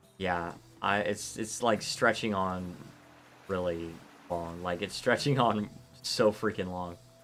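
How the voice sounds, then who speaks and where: With music in the background, a man with an American accent and a very deep, low pitch speaks in an animated tone at a fairly slow pace, leaving long, frequent pauses. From Florida, US South. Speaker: video game streamer. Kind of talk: live gameplay stream commentary with chat reading. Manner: casual, animated.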